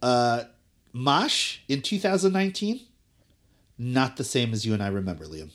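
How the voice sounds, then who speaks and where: On a very clean recording with a silent background, a man with an American accent speaks at medium pitch and a moderate pace, with very wide pitch swings and long, frequent pauses. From South Jersey (Cherry Hill), US. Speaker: podcast co-host. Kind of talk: casual chat.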